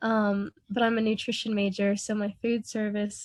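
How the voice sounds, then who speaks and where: Somewhat breathy speech at a moderate pace with monotone, flat intonation. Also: woman. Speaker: university student. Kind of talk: self-introduction.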